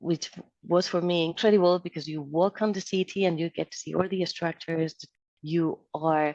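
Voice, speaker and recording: With a Spanish accent and a very deep, low pitch, a woman speaks at a moderate pace in a dark, mellow tone, the sound dry and close with no echo. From Spain, Madrid. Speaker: civil engineer, project manager. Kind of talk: interview.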